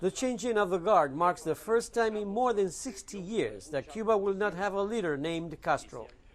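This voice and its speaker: A man with a high pitch at a fairly quick pace. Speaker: news correspondent. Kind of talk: TV news report.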